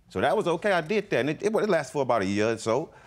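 Very fast speech from a man with a fairly high pitch, vocal fry and very wide pitch swings. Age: 40s. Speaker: reality court show litigant. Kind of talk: testimony. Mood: defensive, explaining himself. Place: stage.

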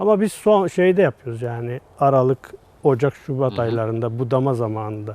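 A man's ordinary speaking voice, medium in pitch, with lively intonation at a fairly quick pace. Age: 40s. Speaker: flower grower. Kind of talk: casual interview. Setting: greenhouse on location.

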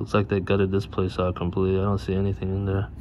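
A man speaks with a very deep, low pitch. Background noise is noticeable throughout. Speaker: urban explorer vlogger. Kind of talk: casual vlog commentary. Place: street. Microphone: phone near.

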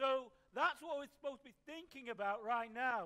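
A man's raised, projected voice at an extremely high pitch, bright and sharp in tone, with ordinary pitch variation. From northern England. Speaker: pastor. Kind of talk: sermon. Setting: church service. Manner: conversational, with frequent fillers and repetitions; light-hearted, jokes with the congregation. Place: church.

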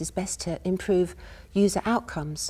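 A woman speaks with vocal fry. Her pitch varies in an ordinary way. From United Kingdom. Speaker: university professor giving a lecture. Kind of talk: academic lecture. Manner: soft-spoken, calm. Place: stage.

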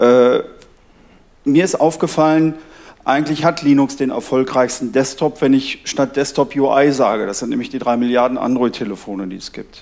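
An ordinary speaking voice moves at a moderate pace with ordinary pitch variation and big swings in loudness. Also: man, fairly high pitch for a man. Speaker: audience member. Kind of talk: audience question. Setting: stage with audience. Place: hall. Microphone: headset.

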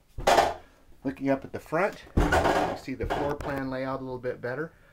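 A man speaks at moderate speed. Behind him there is noticeable background noise. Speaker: RV salesperson. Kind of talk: walkthrough tour narration. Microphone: phone near.

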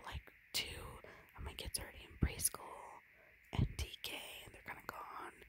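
Soft-spoken whispering at a moderate pace over loud background noise. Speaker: video creator. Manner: soft whispered chatting.

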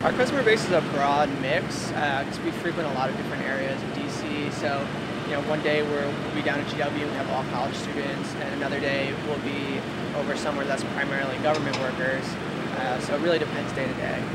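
Over loud background noise, a man speaks. His pace is fairly quick. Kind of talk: interview answer. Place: street. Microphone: lapel.

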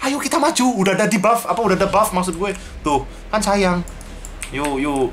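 With light background noise behind him, a man speaks at a fairly quick pace in a high voice, using lively intonation and long, frequent pauses. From Indonesia. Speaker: gaming youtuber. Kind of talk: live gameplay commentary. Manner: animated. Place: home room. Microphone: cheap-sounding headset mic.

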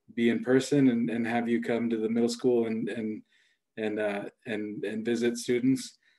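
Against a quiet background, a man speaks at a moderate pace. His tone is dark and mellow. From Colombia, raised in Los Angeles; California. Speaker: school principal and panel moderator; panel moderator. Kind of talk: moderated panel discussion. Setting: video call. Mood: warm, thoughtful. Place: home room. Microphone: video call.

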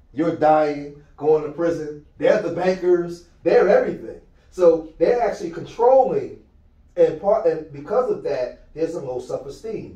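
Against a quiet background with audible room echo, a man with a high-pitched voice talks at a fairly slow pace, with ordinary pitch variation. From Philadelphia, US. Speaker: youth mentor, nonprofit founder. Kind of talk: motivational talk to youth. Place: meeting room. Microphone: camera far.

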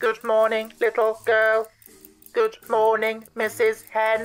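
In a put-on character voice, the speaker holds a fairly high pitch at a very slow pace. Music plays in the background. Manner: monotone, flat, no expression.

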